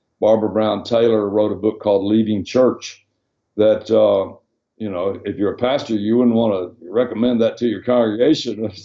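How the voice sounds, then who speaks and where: In a Southern US accent, a man talks at a moderate pace with a fairly low pitch. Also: fairly even intonation. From Arkansas, US South (Hot Springs). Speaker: former pastor and missionary. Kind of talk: interview. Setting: video call.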